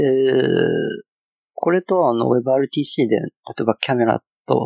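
In a dry, close sound with no echo, a man with a Chinese accent speaks at a medium pitch with lively intonation. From China. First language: Chinese (speaking Japanese). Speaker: front-end engineer. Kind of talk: casual chat. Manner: halting, many fillers.

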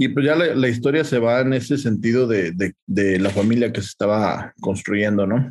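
Speaking in a Mexican accent, a man keeps a moderate pace, very even loudness, a medium pitch and ordinary pitch variation. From Mexico. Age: 40s. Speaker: agribusiness consultant. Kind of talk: interview.

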